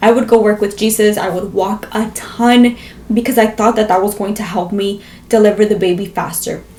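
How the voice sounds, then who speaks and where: Monotone and flat, a voice with an American accent speaks at a moderate pace over noticeable background noise. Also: woman, fairly high pitch for a woman. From Las Vegas, US. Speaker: vlogger. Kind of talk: storytelling vlog.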